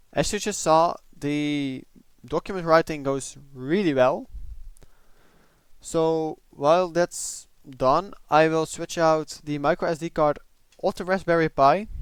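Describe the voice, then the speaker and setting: On a very clean recording with a silent background, a man with a non-native accent and a fairly high pitch talks at a fairly slow pace with long, frequent pauses and ordinary pitch variation. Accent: noticeable non-native. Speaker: tech hobbyist. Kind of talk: casual tech review talk.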